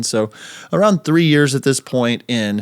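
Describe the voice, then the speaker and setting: A man's ordinary speaking voice at medium pitch, on a very clean recording with a silent background. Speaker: podcast host. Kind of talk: casual chat. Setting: home office studio.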